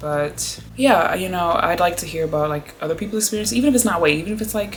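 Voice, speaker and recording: A woman talks at a very fast pace over background music, with audible room echo. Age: 20s. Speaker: vlogger. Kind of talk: casual chat.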